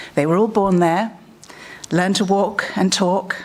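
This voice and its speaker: Audible room echo surrounds a voice with a British accent. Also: woman. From England. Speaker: conference speaker. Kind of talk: conference talk.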